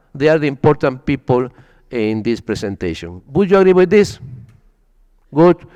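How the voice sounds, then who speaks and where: With a Spanish accent, a man speaks at a moderate pace in a dark, mellow tone at a fairly high pitch, his pitch swinging very widely between long, frequent pauses. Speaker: wine expert presenter. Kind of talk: presentation at wine tasting event.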